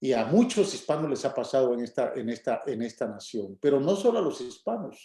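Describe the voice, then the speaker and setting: A man speaks with lively intonation. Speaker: pastor. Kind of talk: sermon.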